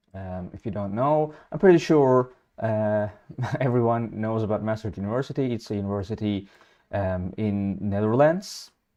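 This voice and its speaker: Against a quiet background, a man speaks with a fairly low pitch, a dark, mellow tone and ordinary pitch variation. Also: moderate pace. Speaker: livestream host on scholarships. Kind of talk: livestream presentation. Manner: hesitant, many fillers.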